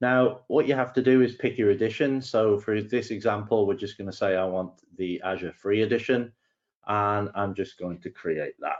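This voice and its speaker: Speaking with an English accent, a man uses a fairly low pitch. His pitch variation is ordinary and his pace moderate. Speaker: solutions engineer. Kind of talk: tutorial. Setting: webinar.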